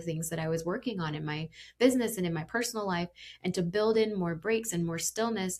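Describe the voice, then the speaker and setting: A woman talks at a very fast clip with a slight Indiana accent. Her tone is animated, and her pitch moves in an ordinary way. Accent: slight Indiana (Hoosier). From Indiana, US Midwest. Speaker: executive coach and podcast host. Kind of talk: podcast monologue.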